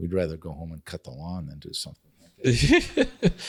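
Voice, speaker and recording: A man with an Upper Midwest accent is heard in a dry, close sound with no echo. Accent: Upper Midwest American. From Oshkosh, Wisconsin. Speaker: nonprofit foundation CEO, former apparel executive. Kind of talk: interview answer.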